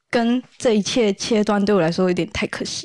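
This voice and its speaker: A woman's medium-pitched voice with ordinary pitch variation, an unremarkable speaking voice. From Taiwan, Kaohsiung. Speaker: solo idol singer. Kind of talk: casual interview chat.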